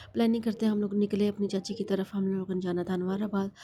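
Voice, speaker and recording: A woman speaks at a medium pitch with a somewhat breathy quality. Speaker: vlogger. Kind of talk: vlog narration. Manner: rambling, repetitive.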